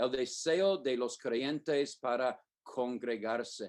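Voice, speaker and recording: A man talks with a slight non-native accent. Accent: non-native Spanish, slightly off. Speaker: preacher. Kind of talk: sermon. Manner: halting, many fillers.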